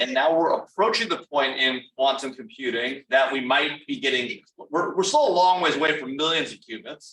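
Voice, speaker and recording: This man has a fairly high pitch and ordinary pitch variation. He speaks at a moderate pace. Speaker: national security institute director, moderator. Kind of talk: fireside chat interview. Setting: room with audience, also streamed on Zoom. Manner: loud.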